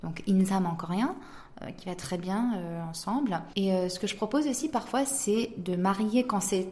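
Over noticeable background noise and audible room echo, a woman at a medium pitch talks at a fairly slow pace with ordinary pitch variation. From South Korea (French-Korean, raised in Korea from age 4). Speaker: wine startup founder. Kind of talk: interview.

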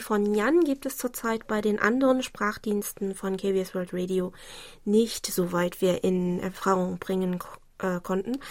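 A woman speaks at a medium pitch with ordinary pitch variation and a fairly slow pace. The recording is very clean, with a silent background. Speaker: radio host. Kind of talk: listener mail show, partly reading letters aloud.

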